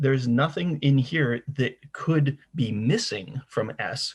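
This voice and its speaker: A somewhat breathy male voice with ordinary pitch variation. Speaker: university lecturer. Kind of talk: lecture.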